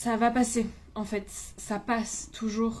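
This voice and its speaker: A woman speaks in a somewhat breathy voice, with audible room echo around her. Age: 20s. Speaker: vlogger. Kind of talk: personal vlog monologue. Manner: casual, hesitant.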